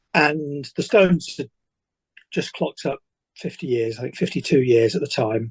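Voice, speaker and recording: Lively intonation and a somewhat breathy quality come through at a moderate pace, with a dry, close sound and no echo. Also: man, fairly high pitch for a man. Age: 60s. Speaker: author. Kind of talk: interview.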